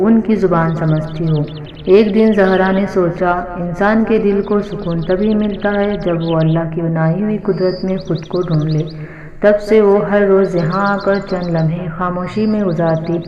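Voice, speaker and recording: Soft-spoken, a woman talks at a medium pitch with monotone, flat intonation. Noticeable background noise is present. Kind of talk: calm Urdu story narration. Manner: soft-spoken, peaceful.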